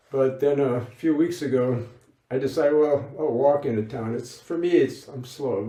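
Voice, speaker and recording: A man speaks at a moderate pace, his pitch medium with ordinary variation. Audible echo fills the room. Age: 70s. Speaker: lay Buddhist practitioner, former monk. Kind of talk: interview. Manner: halting.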